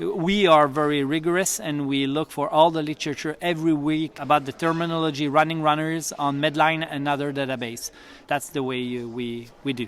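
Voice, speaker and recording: Speaking with a Quebec French accent, a man with a fairly high voice moves at a fairly quick pace with fairly even intonation and hardly any pauses. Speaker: physiotherapist, running clinic educator. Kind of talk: interview. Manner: halting, many fillers.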